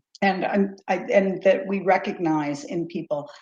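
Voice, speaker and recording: Her voice is somewhat breathy with a dark, mellow tone, sitting at medium pitch for a woman with ordinary pitch variation. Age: 60s. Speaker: psychic medium. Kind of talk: casual chat.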